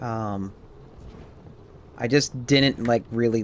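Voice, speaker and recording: The man's tone is calm and relaxed. His pace is very slow. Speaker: game streamer. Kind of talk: casual live stream chat. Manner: calm, relaxed; halting.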